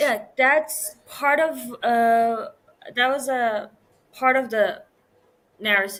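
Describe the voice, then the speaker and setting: A woman with a Persian accent speaks in a high voice, stopping often for long pauses. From Iran. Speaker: podcast guest. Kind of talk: casual conversation.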